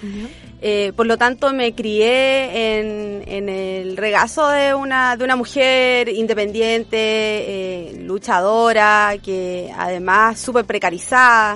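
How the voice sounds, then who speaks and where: A woman's fairly high voice at a very slow pace, with fairly even intonation and hardly any pauses. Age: 40s. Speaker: political candidate and union leader. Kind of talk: interview. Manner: halting.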